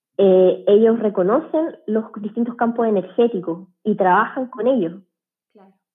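A woman's unremarkable speaking voice, fairly slow, with big swings in loudness and ordinary pitch variation. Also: fairly high pitch for a woman. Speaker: medical doctor. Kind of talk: casual interview.

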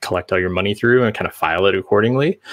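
Against a quiet background, a man with an American accent speaks with a fairly low pitch. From US Midwest, central Illinois. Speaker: UX designer and front end developer. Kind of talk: interview.

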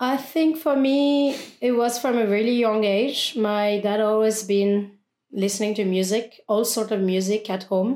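In a French accent, a woman talks at a fairly slow pace with a dark, mellow tone and ordinary pitch variation. The recording is very clean, with a silent background. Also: fairly high pitch for a woman. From France. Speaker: DJ and music producer. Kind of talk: casual chat. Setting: studio.

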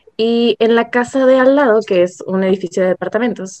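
With fairly even intonation, a woman's speech moves at a moderate pace. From Ensenada, Baja California, Mexico. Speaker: podcast guest. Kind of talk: casual chat.

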